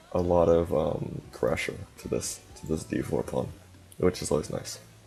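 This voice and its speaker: A man speaks in a very deep, low voice while music plays in the background. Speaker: chess streamer. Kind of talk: live stream commentary. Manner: fast; halting, many fillers.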